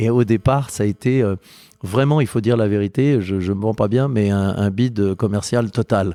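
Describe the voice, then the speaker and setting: Speaking at a moderate pace, a man with a fairly low pitch and a dark, mellow tone keeps his loudness very even and his pitch variation ordinary, in a dry, close sound with no echo. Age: 50s. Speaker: spirits producer. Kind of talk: interview. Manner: hesitant, repetitive.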